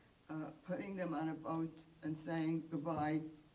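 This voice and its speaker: A woman speaks with a very deep, low pitch at a fairly slow pace. Room echo is audible around her. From Poland. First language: Polish and Yiddish. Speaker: Holocaust survivor. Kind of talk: testimony. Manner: halting, many fillers.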